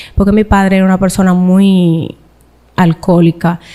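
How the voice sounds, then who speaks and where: A woman with a medium pitch talks at a fairly slow pace, her intonation fairly even. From Dominican Republic, Cibao (Santiago). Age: young. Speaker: interview guest sharing life story. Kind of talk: interview testimony.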